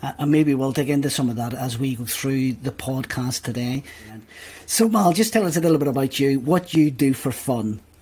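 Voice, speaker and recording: A somewhat breathy man, medium-pitched, with a dark, mellow tone, ordinary pitch variation and a moderate pace. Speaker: podcast host. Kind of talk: casual interview conversation.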